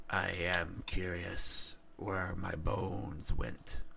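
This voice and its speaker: In a raspy, put-on character voice, a man speaks at a very slow pace while background noise is clearly heard. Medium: actual play. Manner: simple broken speech, short sentences.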